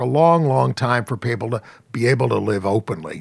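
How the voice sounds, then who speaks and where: A man at a moderate pace with very wide pitch swings, in a dry, close sound with no echo, on a very clean recording with a silent background. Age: 60s. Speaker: journalist and activist. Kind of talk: interview.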